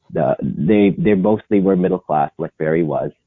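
In a very deep, low voice, a man talks fairly slowly. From Philippines. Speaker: English professor. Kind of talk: interview.

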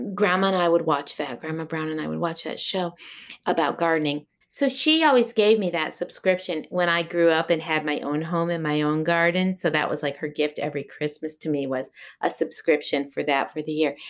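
In a very clean recording with a silent background, a woman with a normal speaking voice and an American accent talks at a fairly quick pace, her fairly low pitch showing ordinary variation. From Massachusetts (Berkshires). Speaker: sheep and fiber farmer. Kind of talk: interview.

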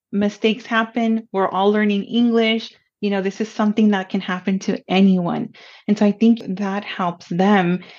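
A woman speaks with a Spanish accent. Her intonation is flat and monotone. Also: medium pitch for a woman, moderate pace. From Pomona, California. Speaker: college counselor. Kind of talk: casual interview chat.

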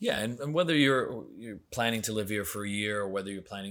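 A man talks at a fairly quick pace with an American accent, in a plain, everyday voice with ordinary pitch variation. The recording is very clean, with a silent background. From Florida. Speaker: real estate expert. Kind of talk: interview.

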